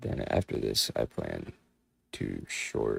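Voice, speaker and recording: Very slowly, a man with an American accent talks in a dry, close sound with no echo. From US Midwest, Chicago suburbs. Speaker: trading streamer. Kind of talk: live stream commentary. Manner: animated.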